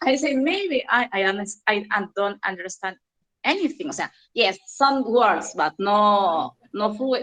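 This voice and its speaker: Speaking at a fairly slow pace with a Spanish accent, a woman uses a fairly high pitch and lively intonation. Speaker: English learner in online class. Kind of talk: class discussion. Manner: halting.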